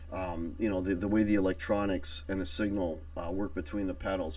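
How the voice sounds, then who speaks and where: With audible room echo, a man speaks at a moderate pace in a very deep, low voice. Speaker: guitarist and channel host. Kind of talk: casual live stream chat. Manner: halting, many fillers.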